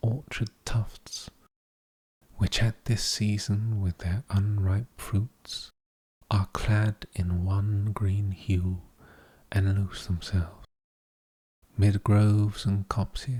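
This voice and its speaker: Calm and somewhat breathy, a man speaks very slowly at fairly low pitch with a dark, mellow tone and fairly even intonation in a dry, close recording with no echo. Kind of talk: poetry reading. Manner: slow, calm, somewhat monotone.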